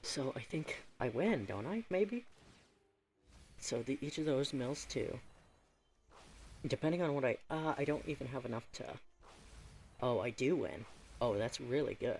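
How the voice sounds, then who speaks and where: A quiet, somewhat breathy man speaks at a fairly slow pace with long, frequent pauses. His pitch is fairly high and his intonation lively. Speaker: gaming YouTuber. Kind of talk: gameplay commentary. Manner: casual, thinking aloud.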